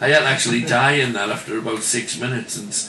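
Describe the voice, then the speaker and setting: A man's medium-pitched, very fast speech with fairly even intonation, amid audible room echo and noticeable background noise. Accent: Geordie. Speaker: club entertainer and actor. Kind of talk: radio interview.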